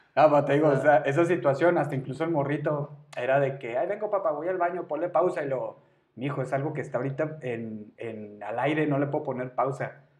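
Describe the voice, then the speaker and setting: A man with a plain, everyday voice speaks fairly quickly at a fairly high pitch. His pitch variation is ordinary, and he hardly pauses. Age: 30s. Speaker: podcast co-host. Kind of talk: casual chat.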